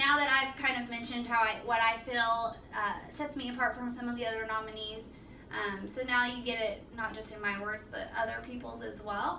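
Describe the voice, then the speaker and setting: In a room with audible echo, a woman speaks at a moderate pace with a fairly high pitch and monotone, flat intonation. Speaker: apartment assistant manager. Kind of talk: self-presentation video for award nomination.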